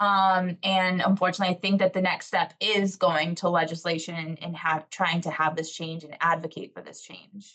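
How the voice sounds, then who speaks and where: A woman speaks in a fairly low, bright, sharp voice at a moderate pace. Her intonation is flat and monotone, with hardly any pauses. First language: Portuguese. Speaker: educator on a panel. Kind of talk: panel discussion. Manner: halting.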